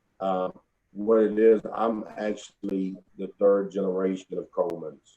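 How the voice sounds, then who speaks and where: A man with an East Texas accent speaks at a very deep, low pitch. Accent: Southern US (East Texas). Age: 40s. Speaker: funeral home owner. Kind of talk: interview.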